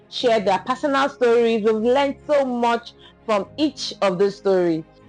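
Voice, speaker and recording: With music in the background, a woman speaks at a moderate pace in a fairly high pitch. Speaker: podcast host. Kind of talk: podcast intro.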